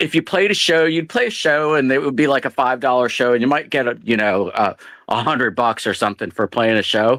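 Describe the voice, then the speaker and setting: In a very clean recording with a silent background and a dry, close sound with no echo, a man with a normal speaking voice talks at medium pitch with lively intonation and very even loudness. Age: 50s. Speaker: caller in open mic hangout. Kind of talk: casual chat.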